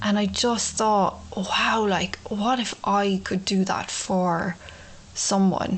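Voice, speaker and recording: A woman's somewhat breathy, medium-pitched voice in an Irish accent, flat and monotone in intonation. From Ireland. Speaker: podcast host, abuse survivor. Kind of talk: personal testimony monologue. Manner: casual, many fillers.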